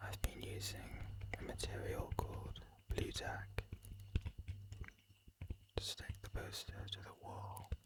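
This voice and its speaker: The whispering goes very slowly, broken by long, frequent pauses. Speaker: ASMR creator. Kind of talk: ASMR whisper / soft-spoken talk. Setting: home studio microphone. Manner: soft-spoken, whispered.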